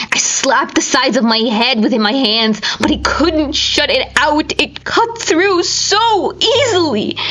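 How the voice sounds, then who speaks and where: A woman speaks at a high pitch with very wide pitch swings. Noticeable background noise can be heard. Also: fairly slow pace, very even loudness. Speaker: audiobook narrator. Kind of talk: dramatic horror fiction reading. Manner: dramatic, intense.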